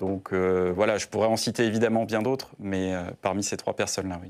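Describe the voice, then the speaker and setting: Speaking at a moderate pace against a quiet background, a man uses a monotone, flat intonation at a fairly low pitch. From Brittany, France. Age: 30s. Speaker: senator. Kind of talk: political interview. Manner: hesitant, many filler sounds. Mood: earnest, measured. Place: studio. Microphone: lapel.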